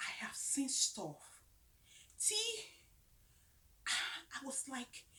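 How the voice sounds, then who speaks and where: A whispering woman at a very slow pace, with long, frequent pauses. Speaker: faith vlogger. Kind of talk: casual rant to camera.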